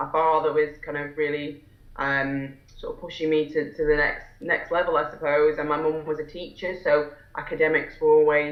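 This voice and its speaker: Over noticeable background noise, someone with a Lancashire accent speaks at a moderate pace in a monotone, flat delivery. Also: woman. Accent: northern English (Lancashire). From northwest England, Fylde coast near Blackpool. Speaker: solicitor and entrepreneur. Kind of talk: interview. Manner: hesitant, many fillers and restarts.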